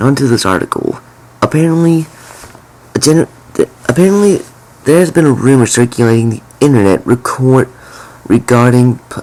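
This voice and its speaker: A man at medium pitch speaks at a moderate pace, with long and frequent pauses. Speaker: gaming YouTuber. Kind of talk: casual commentary. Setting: at home at night. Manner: halting.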